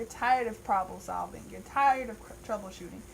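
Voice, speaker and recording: A woman's fairly high voice, marked by vocal fry, swings very widely in pitch. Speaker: tarot reader. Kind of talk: monthly tarot reading. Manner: casual, animated.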